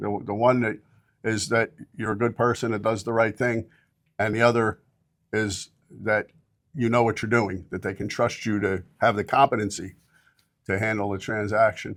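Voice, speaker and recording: In a very clean recording with a silent background, a man with a fairly low pitch speaks at a moderate pace with fairly even intonation and long, frequent pauses. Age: 60s. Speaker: real estate broker. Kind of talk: interview. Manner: halting, many fillers.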